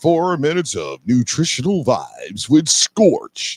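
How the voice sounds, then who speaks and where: The delivery is fairly slow. It is a put-on character voice. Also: man, high pitch for a man. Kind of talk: radio announcer. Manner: upbeat.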